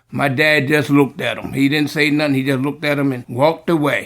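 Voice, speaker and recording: Over music in the background, the voice moves at a moderate pace with monotone, flat intonation. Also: man. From US East Coast, Virginia. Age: 60s. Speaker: army veteran. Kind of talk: casual chat. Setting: in person conversation.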